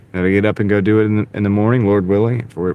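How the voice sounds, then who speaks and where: A man speaks with a Southern accent. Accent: light Southern. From US South. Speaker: gig delivery driver and livestreamer. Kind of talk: casual livestream chat.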